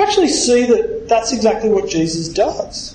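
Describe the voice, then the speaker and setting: A man speaks at a high pitch with lively intonation. Noticeable background noise and audible room echo are present. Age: 30s. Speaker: pastor. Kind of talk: sermon.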